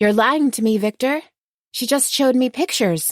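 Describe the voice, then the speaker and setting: A put-on character voice, female-sounding and high-pitched, at a moderate pace. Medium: read story. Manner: commanding, sweet.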